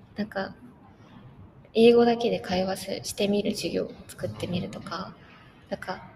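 A woman talks at a fairly slow pace with long, frequent pauses. Her loudness swings widely, and there is noticeable background noise. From Japan. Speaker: university student. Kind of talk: casual interview.

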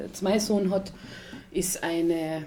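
Speaking very slowly, a woman holds a medium pitch with monotone, flat intonation. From Austria, Tyrol (Achensee). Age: 20s. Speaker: social care worker and mother. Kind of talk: casual chat.

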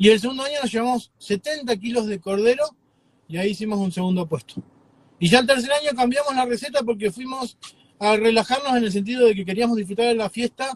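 The speech comes at a very fast pace. Its pitch variation is ordinary. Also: man, extremely high pitch for a man. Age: 40s. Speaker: chef. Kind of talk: interview. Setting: video call. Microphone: too quiet.

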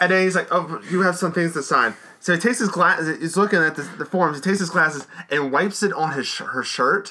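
Over noticeable background noise, someone talks at a very fast pace with ordinary pitch variation. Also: man, high pitch for a man. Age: 30s. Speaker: podcast co-host. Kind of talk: casual chat.

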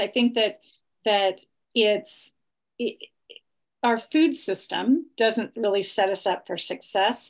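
Against a quiet background, a woman with an ordinary speaking voice talks at a fairly slow pace, her fairly high pitch showing ordinary variation. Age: 50s. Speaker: health coach. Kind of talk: interview.

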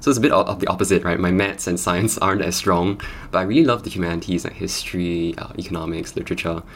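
A man with a very deep, low voice talks at a very fast pace. Noticeable background noise runs underneath. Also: ordinary pitch variation. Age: young. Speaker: podcast host. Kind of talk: interview.

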